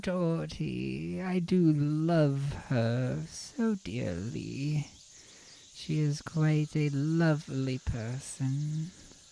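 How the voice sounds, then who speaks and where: A man in a put-on character voice, fairly high-pitched and very slow, with clear background noise. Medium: actual play. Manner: gentle, courteous.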